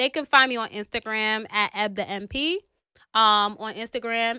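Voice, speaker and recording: A woman talks at a fairly high pitch with fairly even intonation and a bright, sharp tone. The recording is very clean with a silent background, and the sound is dry and close with no echo. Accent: New York. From New York City, South Bronx. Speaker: nurse practitioner. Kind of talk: casual interview.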